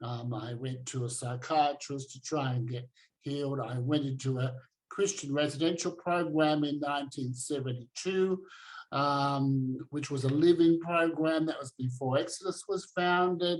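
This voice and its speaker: An Australian accent at a moderate pace, with ordinary pitch variation and big swings in loudness. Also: man, fairly high pitch for a man. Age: 60s. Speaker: activist and former preacher. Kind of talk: online talk presentation.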